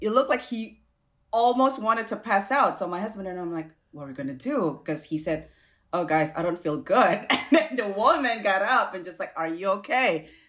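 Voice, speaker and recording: A woman speaks at a fairly quick pace and a medium pitch, her pitch swinging very widely and her loudness rising and falling sharply. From Indonesia. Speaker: food professional and activist. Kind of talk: casual chat. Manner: repeats words, halting.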